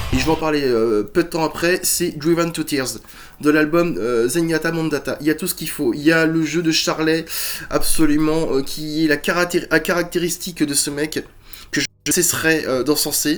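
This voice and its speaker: Fairly high for a man, his voice keeps fairly even intonation at a moderate pace. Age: 40s. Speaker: musician and YouTuber. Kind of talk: casual chat. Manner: hesitant, many fillers.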